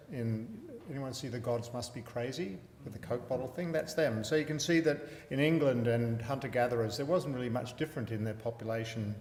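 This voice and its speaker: This man, with an Australian accent, talks at a fairly quick pace and a medium pitch with ordinary pitch variation. Room echo is audible. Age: 60s. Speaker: palliative care physician. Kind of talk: lecture.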